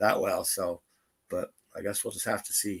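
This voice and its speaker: A loud man with a bright, sharp tone. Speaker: live stream host. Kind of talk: casual chat.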